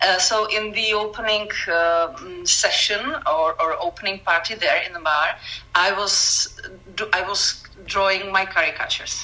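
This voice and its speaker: Noticeable background noise sits behind a woman of medium pitch. She talks at a moderate pace with fairly even intonation. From Czech Republic. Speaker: caricature artist, former art teacher. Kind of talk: casual interview. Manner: halting, many self-corrections.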